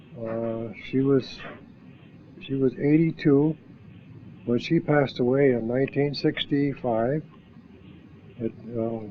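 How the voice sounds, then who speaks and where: A man with an Ohio accent at a fairly slow pace, with ordinary pitch variation and long, frequent pauses. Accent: Midwestern American (Ohio). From northeast Ohio. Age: 70s. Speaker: war veteran. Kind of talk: oral history interview. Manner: halting.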